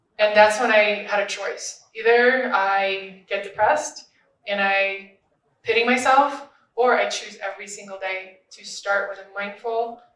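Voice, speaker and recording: A woman speaks with a fairly high pitch and fairly even intonation. Her loudness swings widely, and the room echo is audible. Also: fairly slow pace. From Russia. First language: Russian. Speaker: social media influencer and podcaster. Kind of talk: panel discussion.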